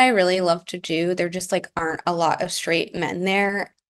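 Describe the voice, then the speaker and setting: A woman speaks in a plain, everyday voice. Her pitch is medium and her pace moderate. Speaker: advice seeker. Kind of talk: casual chat.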